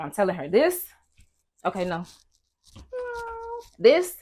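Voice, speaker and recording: Somewhat breathy, a woman talks with big swings in loudness and long, frequent pauses. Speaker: podcast guest. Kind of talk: casual chat.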